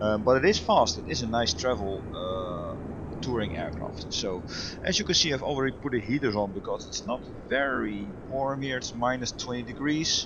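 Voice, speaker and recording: Over noticeable background noise, a man with a Dutch accent speaks with lively intonation. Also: medium pitch for a man, moderate pace. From Netherlands. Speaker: flight sim streamer, virtual airline head. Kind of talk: casual gameplay commentary. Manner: casual, hesitant with fillers.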